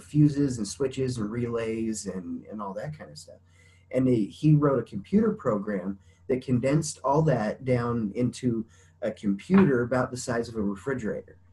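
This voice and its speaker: A man speaks at a moderate pace with lively intonation. His voice is somewhat breathy and swings widely in loudness. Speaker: interview guest. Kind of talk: interview answer. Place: home room. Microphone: video call.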